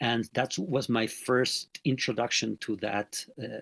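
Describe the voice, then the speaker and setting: Against a quiet background, a man at medium pitch speaks with vocal fry and fairly even intonation. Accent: Mexican. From Mexico. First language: Spanish. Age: 50s. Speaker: NLP trainer and sports mental coach. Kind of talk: interview. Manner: hesitant, many filler sounds.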